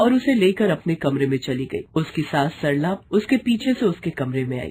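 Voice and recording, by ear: A woman's low, slightly mellow voice with a slightly husky edge moves through big pitch swings at a moderate pace.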